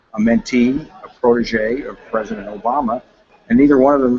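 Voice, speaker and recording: Noticeable background noise sits behind a man speaking at a medium pitch. He talks at a fairly quick pace with ordinary pitch variation. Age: 70s. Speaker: Senate candidate. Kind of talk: interview.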